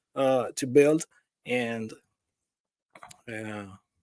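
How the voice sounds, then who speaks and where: Speaking at a very slow pace with a non-native accent, a man has a dark, mellow tone and ordinary pitch variation. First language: not English (undisclosed). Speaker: crypto project founder. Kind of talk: casual interview. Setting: remote call into livestream. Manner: halting, repeats words.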